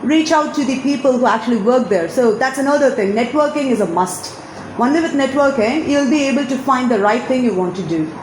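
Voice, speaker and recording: Over noticeable background noise and audible room echo, a woman speaks with a high pitch. Her pace is fairly quick and her intonation lively. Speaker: alumna sharing career advice. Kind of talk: interview advice talk.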